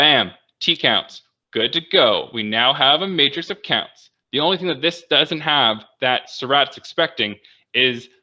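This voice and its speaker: A man with lively intonation. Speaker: bioinformatics workshop presenter. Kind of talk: tutorial. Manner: fast; casual.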